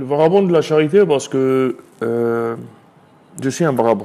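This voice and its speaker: A man is speaking. His pace is moderate. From Côte d'Ivoire (Abidjan, Adjamé). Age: 30s. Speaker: charity volunteer leader. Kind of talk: interview testimony.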